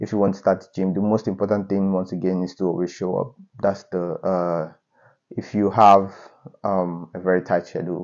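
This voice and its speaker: A man speaks at a moderate pace with a very deep, low pitch. His intonation is monotone and flat, and the background is quiet. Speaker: fitness vlogger. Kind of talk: casual vlog chat. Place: home room. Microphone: lapel.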